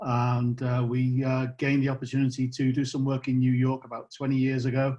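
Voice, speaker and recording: A man with a British accent talks at a medium pitch and a moderate pace. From UK. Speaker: company co-founder. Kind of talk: guest introduction on webinar. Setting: video call.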